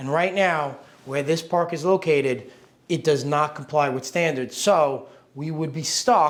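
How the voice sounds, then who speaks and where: Clearly audible background noise surrounds speech in an American accent. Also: man. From New York. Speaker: real estate investor. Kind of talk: casual explanation to camera.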